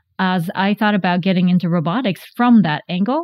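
In a Japanese accent, a woman talks at a very fast pace with a medium pitch and fairly even intonation. The sound is dry and close with no echo. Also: very clean recording, silent background. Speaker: tech company founder and CEO. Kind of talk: interview.

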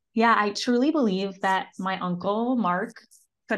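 Against a quiet background, a woman with an unremarkable speaking voice talks at a fairly quick pace with lively intonation. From Syracuse, New York, US. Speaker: marketing mentor and business owner. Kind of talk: interview.

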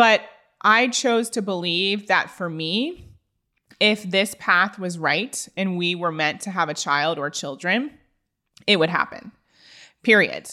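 The recording is very clean, with a silent background. A woman talks very slowly at a medium pitch with a bright, sharp tone and long, frequent pauses. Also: ordinary pitch variation. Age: 30s. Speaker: podcast host. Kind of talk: solo podcast monologue.

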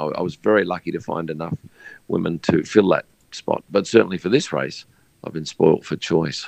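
A man with an Australian accent, heard in a dry, close sound with no echo. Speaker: F1 photographer. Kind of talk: casual interview.

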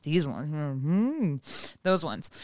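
The recording is very clean and the background silent. A woman talks at a moderate pace, her intonation lively. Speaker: podcast co-host and writer. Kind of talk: casual chat. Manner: comedic delivery, like stand-up.

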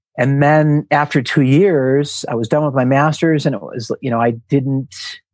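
An unremarkable speaking voice comes through with an American accent. The sound is dry and close with no echo, over a quiet background. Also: man. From US Midwest, Milwaukee, Wisconsin. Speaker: team-building trainer and author. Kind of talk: casual interview.

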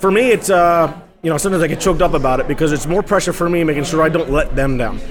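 A high-pitched man speaking at a very fast pace over noticeable background noise. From Hudson Valley, New York. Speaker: barbecue pitmaster. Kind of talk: interview. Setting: live outdoor food event.

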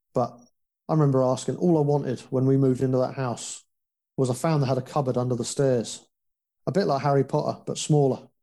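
The speech comes at a very fast pace in a southern English accent. The tone is dark and mellow, with fairly even intonation. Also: man, medium pitch for a man. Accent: English (southern England). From West London, England. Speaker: foster care survivor sharing story. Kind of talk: casual interview, personal testimony.

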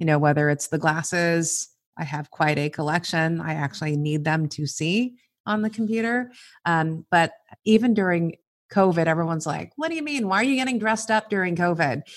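A woman with a West Coast accent speaks at a fairly low pitch and a fairly quick pace, her intonation lively. The recording is very clean, with a silent background. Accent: American West Coast. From Southern California, East L.A. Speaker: corporate HR executive. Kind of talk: interview.

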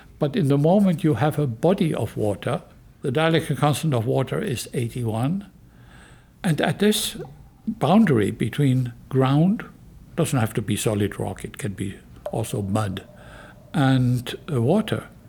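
With a German accent, a man speaks at a medium pitch and a fairly slow pace. His pitch swings very widely, and he takes long, frequent pauses. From Germany. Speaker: geoscience professor. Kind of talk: interview explanation.

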